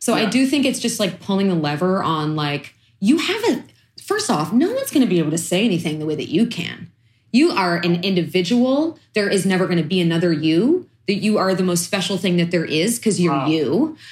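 A woman with an American accent talks at a fairly quick pace and medium pitch. Her voice is somewhat breathy, with lively intonation. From East New York, Brooklyn. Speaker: chef and food activist. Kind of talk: interview conversation.

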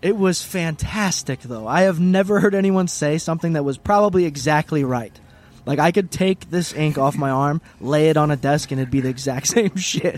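The man has an unremarkable speaking voice, pitched fairly high. He keeps a moderate pace with ordinary pitch variation. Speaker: podcast co-host. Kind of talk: casual banter podcast chat. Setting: remote recording over call software. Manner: profane, laughs often.

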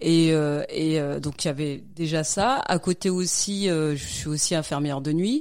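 A woman's very deep, low voice at a fairly slow pace, with ordinary pitch variation and hardly any pauses, in a very clean recording with a silent background. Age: 40s. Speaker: night nurse and marathon runner. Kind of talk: casual interview. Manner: halting.

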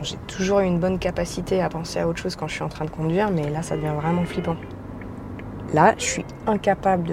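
A woman talks at a very fast pace with a fairly low pitch. Her intonation is flat and monotone, with noticeable background noise behind her. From France, Franche-Comté (near Besançon). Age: 30s. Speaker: podcast host. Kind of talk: storytelling narration. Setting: at home at night.

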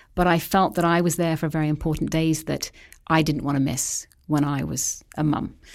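In an English accent, a woman speaks at a very deep, low pitch with monotone, flat intonation and a moderate pace. The recording is very clean, with a silent background. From England. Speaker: astrology and feng shui consultant. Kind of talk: interview.

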